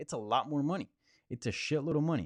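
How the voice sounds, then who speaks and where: A man speaks with a Spanish accent and ordinary pitch variation. The background is quiet. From Colombia. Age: 20s. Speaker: MMA journalist. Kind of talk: live Q&A stream. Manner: casual, filler-heavy.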